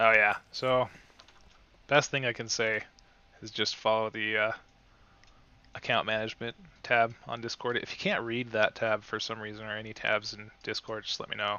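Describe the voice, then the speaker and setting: Quiet and marked by big swings in loudness, a man's medium-pitched voice moves at a moderate pace with monotone, flat intonation and long, frequent pauses. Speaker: gaming livestreamer. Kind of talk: casual livestream commentary. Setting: home, late at night. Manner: quiet, low volume; hesitant, filler-heavy.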